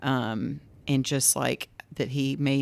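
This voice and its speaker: Speaking with a Southern US accent, a woman uses a very deep, low pitch with vocal fry and fairly even intonation. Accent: US South. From Greensboro, Georgia. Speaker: physical therapist. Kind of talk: casual chat.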